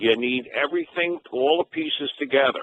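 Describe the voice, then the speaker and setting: A man uses an ordinary speaking voice, fairly high in pitch. He speaks at a fairly slow pace. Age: 60s. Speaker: caller. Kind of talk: call-in radio comment.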